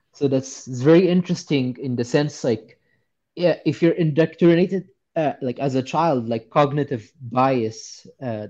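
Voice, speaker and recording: A man's dark, mellow tone in an Arabic accent, at a fairly slow pace with ordinary pitch variation. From Egypt. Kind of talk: personal story interview. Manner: halting, many fillers. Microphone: good connection now.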